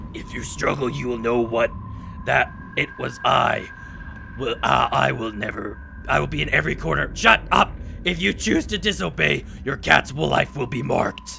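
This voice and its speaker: A man performs a put-on character voice at a moderate pace. Background noise is clearly audible. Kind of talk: gameplay commentary, reading game dialogue aloud. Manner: menacing.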